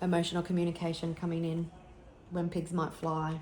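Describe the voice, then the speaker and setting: A woman talks at a fairly quick pace, with noticeable background noise present. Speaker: tarot reader. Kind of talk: tarot reading.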